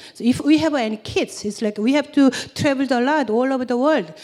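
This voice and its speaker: Over noticeable background noise, a woman with a Korean accent speaks at a moderate pace in a high voice with lively intonation. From South Korea. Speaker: church member. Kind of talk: testimony. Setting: stage with audience. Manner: halting.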